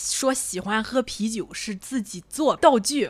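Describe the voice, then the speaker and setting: Animated, fairly high-pitched speech from a woman, with ordinary pitch variation. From Qingdao, Shandong, China. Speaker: podcast co-host. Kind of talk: casual chat.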